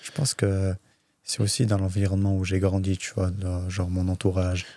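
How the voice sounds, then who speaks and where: Very deep and low in pitch, a man's dark, mellow voice moves at a moderate pace with monotone, flat intonation. The recording is very clean, with a silent background. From France, Saint-Étienne, Chechen family. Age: 20s. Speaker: MMA fighter. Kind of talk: casual podcast interview.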